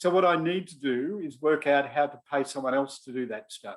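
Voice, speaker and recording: A man talks at a moderate pace. He speaks with an Australian accent. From Australia (Melbourne). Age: 60s. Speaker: business adviser. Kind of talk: online talk.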